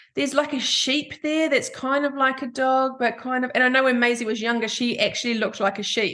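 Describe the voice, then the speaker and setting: Speaking with a New Zealand accent, the voice has an animated, bright, sharp tone and moves at a fairly quick pace with hardly any pauses. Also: woman, high pitch for a woman. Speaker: podcast host. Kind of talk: casual chat.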